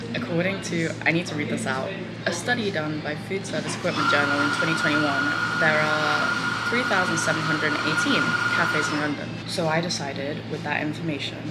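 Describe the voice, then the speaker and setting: Against loud background noise, a woman speaks at a fairly quick pace. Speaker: student vlogger. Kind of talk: casual vlog chat. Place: cafe. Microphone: phone near.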